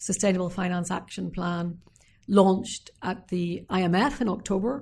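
With a Northern Irish accent, a woman speaks at medium pitch in a somewhat breathy voice with fairly even intonation against a quiet background. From Northern Ireland. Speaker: former politician. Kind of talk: interview.

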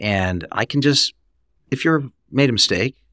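On a very clean recording with a silent background, a man speaks at a moderate pace with lively intonation, the sound dry and close with no echo. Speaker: hospitality furniture executive. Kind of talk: casual interview. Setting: in-person, office. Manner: straightforward, blunt.

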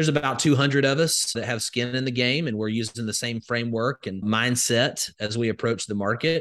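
This man speaks with an Alabama accent at a fairly quick pace. His intonation stays fairly even. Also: medium pitch for a man. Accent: Southern US (Alabama). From US South, rural Alabama. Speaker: crypto educator and investor. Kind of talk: interview.

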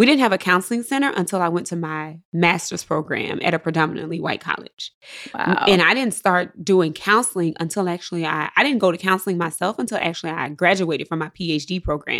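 A woman's fairly low voice in a Mississippi accent, fairly quick and with hardly any pauses, with ordinary pitch variation. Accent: Southern US (Mississippi). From US South, Jackson, Mississippi. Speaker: psychologist. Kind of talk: interview.

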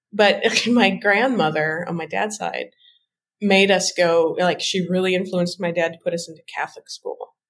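A woman with a Midwestern accent, medium in pitch, at a moderate pace. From US Midwest. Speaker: tarot deck creator. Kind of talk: casual interview.

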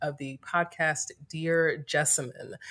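A woman speaks with an American accent in a normal speaking voice. Her pitch is fairly low and her intonation fairly even. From North Carolina, US South (Greensboro). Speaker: yoga teacher and entrepreneur. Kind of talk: casual interview.

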